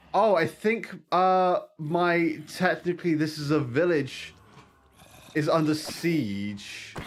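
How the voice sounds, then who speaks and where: Very slowly and with very even loudness, a man with a British accent speaks at a high pitch with lively intonation. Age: 30s. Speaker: vtuber gaming streamer. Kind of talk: casual gaming livestream chat.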